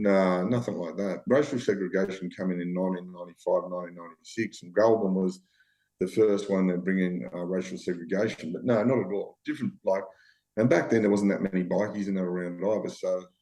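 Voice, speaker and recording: Very deep and low, a man's voice carries a dark, mellow tone. He speaks at a fairly quick pace. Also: ordinary pitch variation. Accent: strong Australian. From Australia, western Sydney. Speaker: former bank robber. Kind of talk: casual interview chat. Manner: animated, repetitive.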